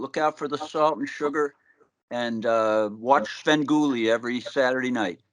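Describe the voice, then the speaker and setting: Over a quiet background, a man with a Boston accent speaks at a moderate pace with ordinary pitch variation. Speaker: rock musician. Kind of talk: interview. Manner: halting.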